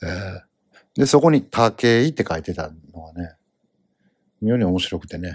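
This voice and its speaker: A man talks at a moderate pace in a very deep, low pitch, with lively intonation and big swings in loudness. He leaves long, frequent pauses. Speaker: comedian podcast host. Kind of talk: solo casual monologue. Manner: rambling with many fillers.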